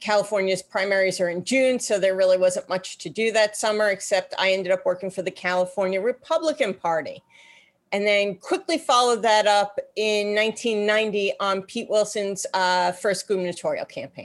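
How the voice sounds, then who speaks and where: A woman with an American accent speaks at a moderate pace, her pitch medium and its variation ordinary. It is an ordinary speaking voice. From New York. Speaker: political strategist. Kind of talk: interview.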